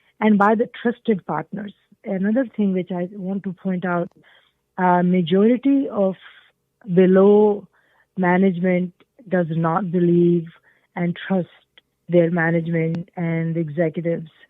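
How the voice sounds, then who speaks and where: With a Pakistani accent, a woman speaks at a medium pitch and fairly even intonation, leaving long, frequent pauses. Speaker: change management consultant. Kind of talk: interview. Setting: podcast. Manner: hesitant, many fillers.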